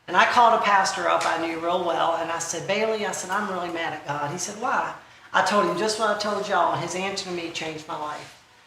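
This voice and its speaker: Speaking at a very fast pace, a woman with medium pitch and ordinary pitch variation comes through noticeable background noise and audible room echo. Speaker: conference speaker. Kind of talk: testimony. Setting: stage with audience. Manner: loud; animated.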